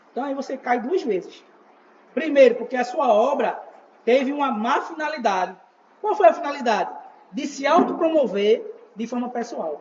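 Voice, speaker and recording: Over noticeable background noise, a man with an extremely high pitch talks at a moderate pace with lively intonation and long, frequent pauses. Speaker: evangelist teaching a church class. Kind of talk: church teaching class.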